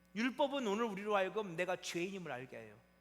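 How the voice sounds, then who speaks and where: Lively in intonation, a man talks at a very fast pace over noticeable background noise. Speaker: pastor. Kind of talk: sermon. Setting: church. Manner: conversational, frequent rhetorical questions to congregation.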